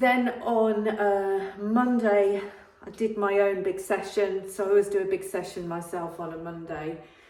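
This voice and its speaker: A woman's medium-pitched voice in an English accent, fairly slow and fairly even in intonation, with audible room echo and noticeable background noise. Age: 60s. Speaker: fitness vlogger. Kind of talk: casual vlog update. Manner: hesitant, many fillers.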